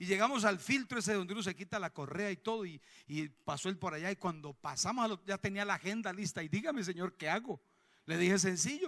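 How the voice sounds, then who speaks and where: A man talks at a fairly quick pace with a high pitch and lively intonation. His tone is animated, and the sound is dry and close with no echo. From Colombia. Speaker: pastor. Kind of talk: sermon. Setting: church.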